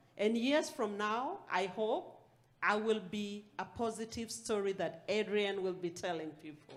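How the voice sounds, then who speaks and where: With a non-native accent, a woman talks in a fairly high voice. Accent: foreign. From outside the US. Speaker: aspiring farmer, panelist. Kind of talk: panel discussion.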